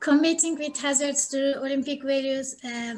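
Her pitch high, a woman speaks at a fairly slow pace. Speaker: interviewer. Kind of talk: interview questions. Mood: friendly, smiling.

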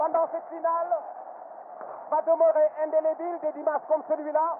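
An excited man speaks at an extremely high pitch. Noticeable background noise runs underneath. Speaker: football radio commentator. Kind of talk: live sports commentary. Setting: stadium. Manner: fast, excited play-by-play delivery, rising to a shout at the goal and the final whistle.

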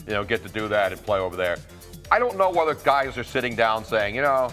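Faint music sits in the background. Over it, a man talks very fast. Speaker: guest sports commentator. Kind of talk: commentary. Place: studio. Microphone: lapel.

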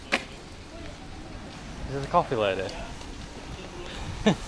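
Man's voice, dry with no echo, over loud background noise. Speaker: travel vlogger. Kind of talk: casual vlog chat. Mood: amused, curious. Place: street. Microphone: phone near.

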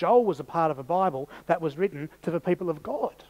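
Moderate pace with ordinary pitch variation. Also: man. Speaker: preacher. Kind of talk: sermon. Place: church.

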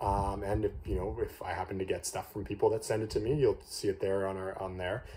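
With a Canadian accent, a man speaks at a fairly quick pace with hardly any pauses. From Canada. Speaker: candy reviewer YouTuber; candy reviewer. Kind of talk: casual vlog monologue. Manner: hesitant, many fillers. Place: home room. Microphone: phone near.

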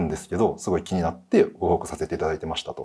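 Someone speaks at a very fast pace against a quiet background. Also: man. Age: 30s. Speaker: guest. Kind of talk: storytelling. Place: studio.

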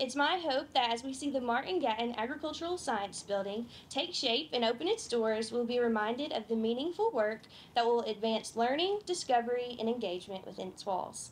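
Over light background noise, a woman speaks fairly quickly in a high pitch with lively intonation. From Kentucky. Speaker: agriculture student; speaker. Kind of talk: prepared speech. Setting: outdoor tent event with audience. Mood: warm, grateful.

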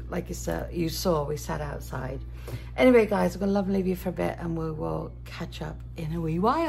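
A woman speaks at a moderate pace with a fairly low pitch, vocal fry, a slightly mellow tone and ordinary pitch variation.

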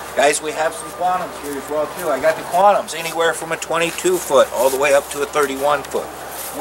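There is noticeable background noise as a man with a fairly high pitch speaks at a moderate pace. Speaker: RV salesman. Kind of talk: sales pitch, pitchman-style dealership lot promo. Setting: outdoors on dealership lot. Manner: animated; salesy, upbeat, direct-address patter. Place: open country.

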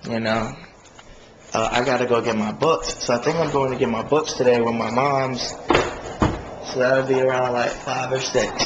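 A man keeps a moderate pace while noticeable background noise carries on behind him. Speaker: vlogger. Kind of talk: casual vlog chat. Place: home room. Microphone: phone near.

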